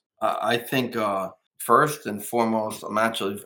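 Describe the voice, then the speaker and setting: The man's pitch is fairly low and his tone bright and sharp. He keeps a moderate pace with fairly even intonation. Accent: New Jersey. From New Jersey. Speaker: businessman. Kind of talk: interview. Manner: halting.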